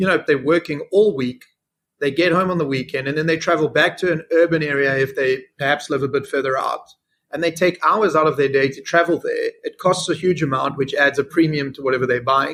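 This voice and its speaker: A man talks at a fairly quick pace in a fairly high pitch. His intonation stays fairly even. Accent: South African. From South Africa. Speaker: fintech CEO. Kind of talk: interview.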